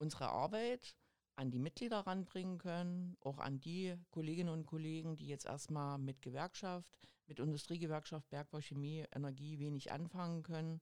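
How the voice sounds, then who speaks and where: Ordinary pitch movement and a moderate tempo in a woman's very deep, low voice. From East Germany. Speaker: trade union district leader. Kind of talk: casual podcast interview.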